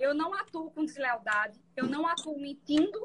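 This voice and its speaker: This woman speaks at a moderate pace. Her pitch sits high. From Pernambuco, Brazil. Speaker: public defender. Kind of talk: casual interview. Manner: gentle.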